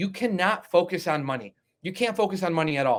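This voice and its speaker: Energetic in tone, a man talks at a fairly quick pace with a high pitch and lively intonation. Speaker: loan officer and team leader. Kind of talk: sales meeting talk. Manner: energetic, emphatic.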